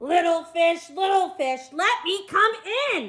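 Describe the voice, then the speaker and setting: Bellowing in a squeaky, put-on character voice, a woman speaks at an extremely high pitch and a fairly slow pace. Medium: read story. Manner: roaring, threatening.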